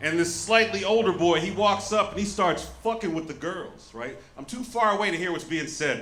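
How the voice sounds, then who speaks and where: Through noticeable background noise, a man with an American accent talks at a fairly quick pace. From Southern United States. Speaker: stand-up comedian. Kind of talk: stand-up comedy set.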